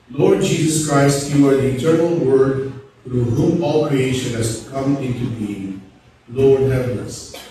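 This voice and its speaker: Strong room echo surrounds a man talking at a fairly slow pace with ordinary pitch variation, with light background noise. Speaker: priest leading Mass. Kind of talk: liturgical prayer. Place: church.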